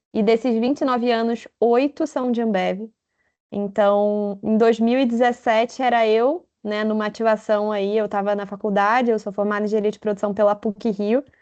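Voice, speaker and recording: A woman talks at a fairly high pitch with fairly even intonation. The background is quiet. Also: moderate pace. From Rio de Janeiro, Brazil. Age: 20s. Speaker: corporate manager. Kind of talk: event talk. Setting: video call.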